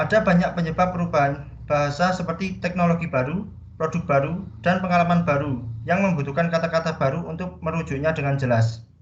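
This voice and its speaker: Speaking at a very fast pace, a man with a fairly high pitch and ordinary pitch variation is heard with audible room echo. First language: Javanese (speaking Indonesian). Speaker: student presenter. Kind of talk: class presentation.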